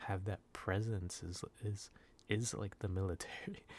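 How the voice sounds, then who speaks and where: Here a man talks at a fairly low pitch with ordinary pitch variation. His voice is somewhat breathy. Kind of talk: ASMR soft-spoken casual talk to camera. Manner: soft-spoken, rambling, hesitant.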